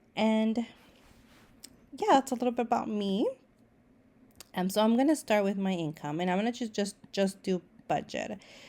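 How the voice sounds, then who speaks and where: A woman's fairly high, dark and mellow voice, with ordinary pitch variation, a moderate pace and long, frequent pauses. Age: 30s. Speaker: therapist and budgeting vlogger. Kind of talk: tutorial. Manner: casual, with fillers and restarts.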